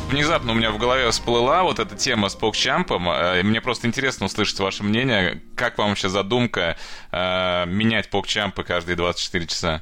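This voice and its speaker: Bright and sharp in tone, a man speaks at a moderate pace with ordinary pitch variation and very even loudness. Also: fairly low pitch for a man. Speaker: podcast co-host. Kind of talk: casual chat.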